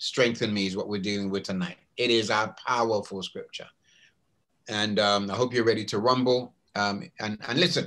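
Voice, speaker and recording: The pace is moderate. A man speaks with a British accent. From England. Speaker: pastor. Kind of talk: sermon. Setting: video call. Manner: animated. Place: home room. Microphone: webcam.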